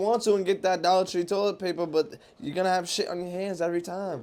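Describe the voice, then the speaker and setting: There is noticeable noise in the background. A man speaks at a very fast pace. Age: 30s. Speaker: podcast co-host. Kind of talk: casual chat.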